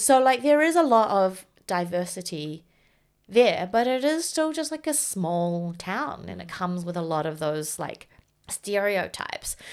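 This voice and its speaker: A woman with a New Zealand accent speaks at a fairly slow pace in a medium pitch, her pitch swinging very widely and her loudness rising and falling in big swings. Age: 30s. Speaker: writer and software developer. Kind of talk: casual chat.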